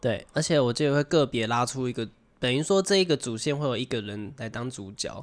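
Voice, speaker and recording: A man's intonation is lively as he talks at a fairly quick pace. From Taiwan. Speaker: podcast co-host. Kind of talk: casual chat. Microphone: studio mic.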